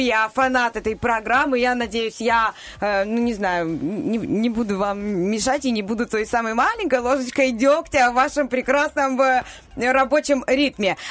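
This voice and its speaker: Behind a woman's high voice there is noticeable background noise. She speaks at a fairly slow pace with ordinary pitch variation. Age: 30s. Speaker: radio news presenter. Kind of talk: radio segment, casual talk.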